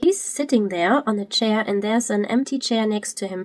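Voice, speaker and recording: A woman speaks with a German accent. Her fairly high voice has ordinary pitch variation. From Germany. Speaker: Twitch streamer. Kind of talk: video commentary. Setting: live stream. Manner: halting.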